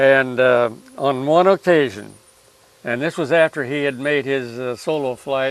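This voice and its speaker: The speaker talks at a fairly slow pace with a Midwestern American accent. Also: man, medium pitch for a man, ordinary pitch variation. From US Midwest, Alton area, Illinois. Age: 90s. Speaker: war veteran. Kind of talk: interview. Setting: outdoors. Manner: halting.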